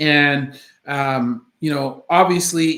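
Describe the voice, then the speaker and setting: The tone is bright and sharp, and the pitch varies in an ordinary way. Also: man. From Canada, Jamaican family. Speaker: orthopedic surgeon, channel host. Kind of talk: live stream Q&A. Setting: home office, live stream. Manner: many fillers, hesitant.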